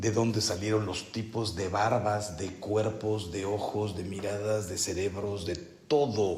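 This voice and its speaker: Over noticeable background noise, a man with a Mexican accent speaks very slowly with fairly even intonation. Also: fairly low pitch for a man. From Mexico. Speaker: priest leading a spiritual retreat. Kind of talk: retreat meditation talk. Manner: slow, deliberate.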